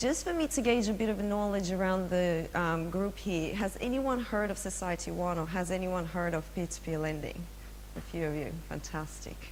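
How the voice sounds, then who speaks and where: There is audible room echo on this recording. A woman speaks at a moderate pace. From Russia. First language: Russian. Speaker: finance executive. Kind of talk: presentation.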